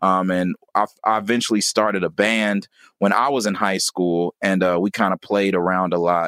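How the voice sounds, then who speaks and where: In a normal speaking voice with an American accent, a man talks at a moderate pace with fairly low pitch, fairly even intonation and very even loudness, on a very clean recording with a silent background and a dry, close sound with no echo. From US Midwest (Gary, Indiana). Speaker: rapper and educator. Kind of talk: interview.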